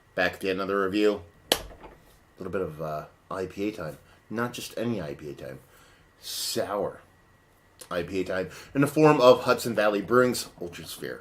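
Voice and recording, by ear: Using a put-on character voice, a man speaks hoarsely at a fairly low pitch with lively intonation. His pace is moderate, broken by long, frequent pauses.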